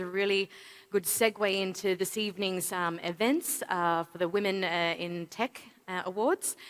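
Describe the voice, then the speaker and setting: A woman speaks at a medium pitch with a bright, sharp tone, recorded dry and close with no echo. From Australia. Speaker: payments industry executive, keynote speaker. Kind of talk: conference keynote speech. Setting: stage with audience at a summit. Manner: some hesitations and fillers.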